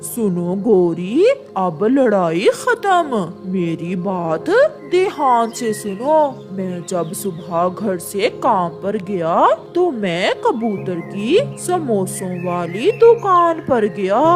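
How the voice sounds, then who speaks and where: A cartoonish character voice talks at a very slow pace over clear music in the background. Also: female-sounding voice. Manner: boastful, scheming.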